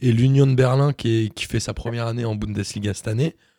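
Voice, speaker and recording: At a fairly quick pace, a man speaks in a somewhat breathy, dark and mellow voice of medium pitch with ordinary pitch variation. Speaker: podcast host. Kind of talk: casual chat.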